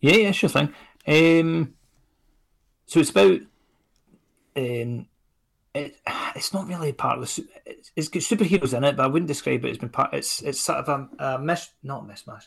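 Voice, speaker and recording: The speaker talks at a moderate pace with lively intonation and vocal fry. Long pauses come often, and the loudness swings widely. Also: man, fairly high pitch for a man. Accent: Scottish. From Scotland. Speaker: indie comics creator. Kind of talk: casual chat. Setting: video call.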